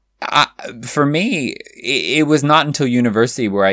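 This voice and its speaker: Lively and bright, with a sharp tone, a man speaks in an American accent at a moderate pace. The recording is very clean with a silent background. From California, US. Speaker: podcast host, drag cabaret performer. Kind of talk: casual chat, podcast conversation. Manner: animated, playful.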